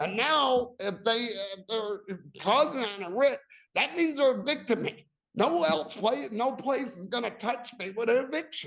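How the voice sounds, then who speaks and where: Speaking at a moderate pace, a man uses an extremely high pitch, lively intonation and a bright, sharp tone. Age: 60s. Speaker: tenant defendant in eviction hearing. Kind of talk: court testimony. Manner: halting.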